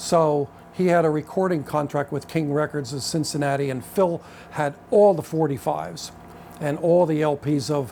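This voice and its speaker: A man with a Pennsylvania accent talks at a moderate pace. His pitch is fairly high and varies in an ordinary way. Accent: US Mid-Atlantic (Pennsylvania). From Pennsylvania, Reading area. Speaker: jazz saxophonist and club owner. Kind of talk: life history interview. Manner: halting, many repetitions.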